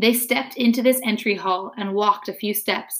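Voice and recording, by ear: In a natural voice, someone reads the text aloud.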